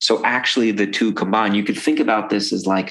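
Here a man with an American accent speaks at a fairly low pitch. His pitch variation is ordinary. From New York, Brooklyn. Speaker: psychologist. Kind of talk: interview conversation.

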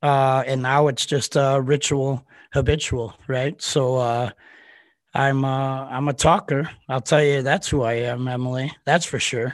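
In a very clean recording with a silent background, a man speaks at medium pitch. His delivery is fairly slow, with monotone, flat intonation. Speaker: building science professional. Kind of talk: casual chat. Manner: halting, with many repeated words; talkative.

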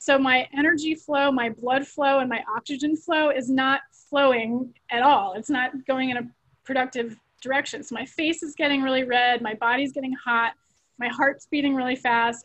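A woman with an American accent talks at a moderate pace in a high voice, her intonation fairly even. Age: 50s. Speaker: law professor. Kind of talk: interview.

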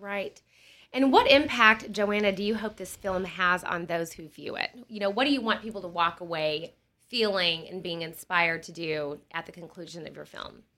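A normal speaking voice at a moderate pace, with ordinary pitch variation and big swings in loudness. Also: woman, medium pitch for a woman. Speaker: podcast host. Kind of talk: interview. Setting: studio.

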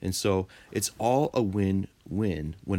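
This is a man speaking. His pitch is fairly low. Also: very clean recording, silent background. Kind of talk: infomercial-style sales pitch, a brisk scripted ad read. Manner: upbeat, salesy and bright, rattling off product lists with polished enthusiasm.

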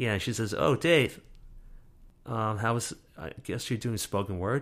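Speaking with an American accent at a moderate pace, a man uses a fairly low pitch and ordinary pitch variation. The recording is very clean, with a silent background. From New York, the Bronx. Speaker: storyteller. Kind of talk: interview. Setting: interview in Brooklyn.

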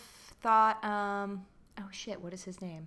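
Against a silent background in a very clean recording, someone with an American accent speaks at a very slow pace. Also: woman. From New Jersey, near Atlantic City. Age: 20s. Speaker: comedian. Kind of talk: casual chat.

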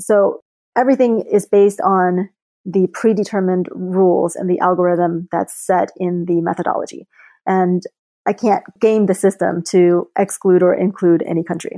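Heard on a very clean recording with a silent background, a woman with an American accent uses an ordinary speaking voice at a medium pitch, moderate pace and fairly even intonation. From childhood split between Beijing and the US. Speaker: index fund founder. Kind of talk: podcast interview.

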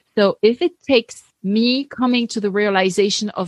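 With a French accent, a woman talks at a fairly slow pace in a medium pitch with ordinary pitch variation, the sound dry and close with no echo. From France. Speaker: Bible teacher and podcast host. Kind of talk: interview, faith conversation.

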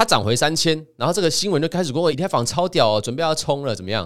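A man speaks at a fairly quick pace, with vocal fry. The recording is very clean, with a silent background. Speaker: podcast host and crypto author. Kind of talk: solo podcast monologue presenting his book. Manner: casual, frequent filler particles.

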